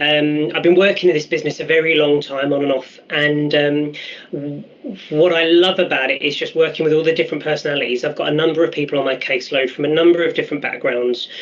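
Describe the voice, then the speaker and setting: Someone with a London accent speaks at a very fast pace. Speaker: youth employment mentor. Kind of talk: virtual job fair presentation. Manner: hesitant, many fillers.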